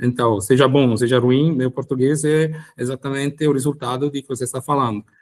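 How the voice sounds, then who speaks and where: Speaking fairly quickly, a man uses a medium pitch and fairly even intonation. The sound is dry and close, with no echo. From Italy. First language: Italian (speaking Portuguese). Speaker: lawyer. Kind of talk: podcast interview. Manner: halting.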